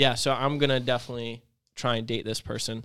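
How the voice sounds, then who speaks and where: This man has a normal speaking voice at medium pitch. His intonation stays fairly even. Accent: American. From North Carolina. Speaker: youth leader. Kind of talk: casual chat.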